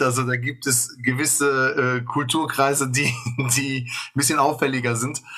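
Speaking at a very slow pace, a man uses a medium pitch and a bright, sharp tone. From Germany, Bonn (Bad Godesberg). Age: 30s. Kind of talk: interview.

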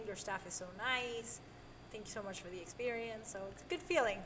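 A woman speaks fairly quickly at a fairly high pitch with ordinary pitch variation, and audible room echo surrounds her voice. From Mexico. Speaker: restaurant assistant manager and cook. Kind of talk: casual interview.

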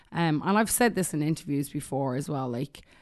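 In an Irish accent, a woman talks with a very deep, low pitch and ordinary pitch variation. The background is quiet. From Ireland. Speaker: musician and songwriter. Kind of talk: casual chat. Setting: studio.

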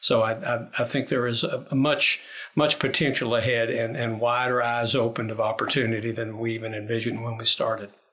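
Speaking at a fairly quick pace with hardly any pauses, a man with a Kentucky accent keeps his intonation fairly even. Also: medium pitch for a man. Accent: Kentucky Southern US. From Lexington, Kentucky. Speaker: university administrator. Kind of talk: interview.

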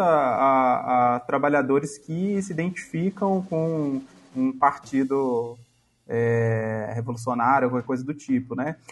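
Speech unfolds very slowly, its pitch shifting in an ordinary way. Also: man. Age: 30s. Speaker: podcast guest. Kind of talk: casual chat. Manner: halting.

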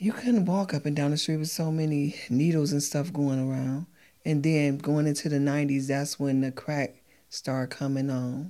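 On a very clean recording with a silent background, a woman with an American accent speaks at a moderate pace, her very deep, low pitch carrying a dark, mellow tone. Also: ordinary pitch variation. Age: 50s. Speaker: mother of a pro football player. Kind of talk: casual chat.

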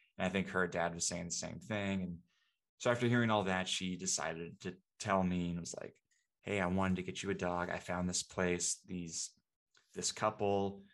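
Speaking with a West Coast accent, a man has a very deep, low pitch and monotone, flat intonation. He keeps a moderate pace against a quiet background. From Seattle, US Pacific Northwest. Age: 20s. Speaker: video producer. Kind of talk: casual chat.

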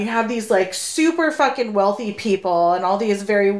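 Speaking at a moderate pace in an American accent, a woman's voice has very wide pitch swings over noticeable background noise. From Sacramento, California. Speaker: podcast co-host. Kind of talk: casual chat. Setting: home recording.

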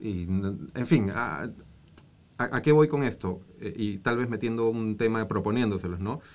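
A man with a normal speaking voice talks at a fairly slow pace. His pitch is medium, with ordinary pitch variation. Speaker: former congressman and environmental NGO director. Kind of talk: casual interview chat.

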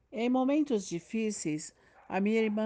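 Ordinary variation marks the pitch. A dark, mellow tone carries the voice. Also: woman. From Piauí, Brazil. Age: 50s. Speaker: teacher. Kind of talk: interview answers.

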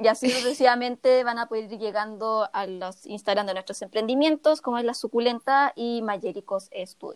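In a dry, close recording with no echo, a woman with a fairly high pitch and ordinary pitch variation speaks with big swings in loudness. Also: moderate pace. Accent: Chilean. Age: 20s. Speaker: podcast co-host, illustrator. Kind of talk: casual chat.

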